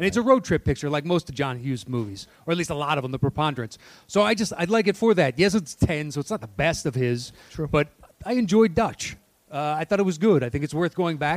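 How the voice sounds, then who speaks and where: A man talks very fast in a fairly high pitch with lively intonation. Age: 40s. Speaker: podcast co-host. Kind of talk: live podcast taping, casual banter. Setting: stage with live audience.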